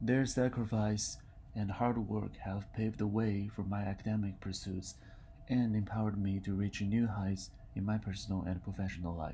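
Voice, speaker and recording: A man speaks at a moderate pace in a fairly low pitch, his intonation fairly even. His tone is dark and mellow and somewhat breathy. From China. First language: Mandarin. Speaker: university student. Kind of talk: reading aloud.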